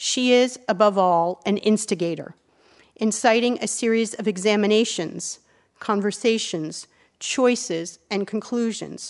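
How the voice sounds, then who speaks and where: Over a quiet background, a woman talks fairly slowly in a normal speaking voice, fairly high in pitch with ordinary variation. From US. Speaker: architecture writer and advisor. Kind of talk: lecture. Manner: formal.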